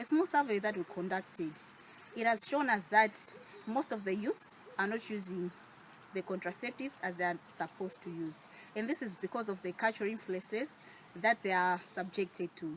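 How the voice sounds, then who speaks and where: With a Malawian accent, a woman speaks with ordinary pitch variation. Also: medium pitch for a woman, moderate pace. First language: Chichewa. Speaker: youth advocate, NGO worker. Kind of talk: short advocacy speech to camera.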